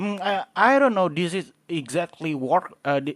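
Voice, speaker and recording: Recorded very cleanly with a silent background and a dry, close sound with no echo, a man with a fairly high pitch talks at a fairly slow pace with lively intonation. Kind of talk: game guide talk. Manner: hesitant, halting.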